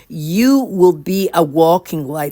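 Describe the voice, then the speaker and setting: A woman speaks at a very slow pace with a non-native accent. Her pitch sits fairly low. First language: not English. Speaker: spiritual speaker. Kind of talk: religious talk to camera. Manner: halting, self-correcting.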